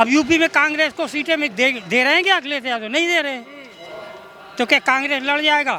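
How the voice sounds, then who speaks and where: Over noticeable background noise, a man speaks in a raised, projected voice at an extremely high pitch, at a moderate pace with ordinary pitch variation. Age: 70s. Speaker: member of the public in street interview. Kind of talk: street vox pop political opinion.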